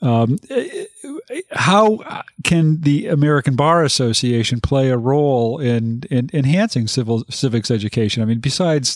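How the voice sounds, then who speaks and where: Recorded as a dry, close sound with no echo in a very clean recording, silent background, a man uses an ordinary speaking voice at medium pitch with ordinary pitch variation. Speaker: legal podcast host. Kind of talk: interview.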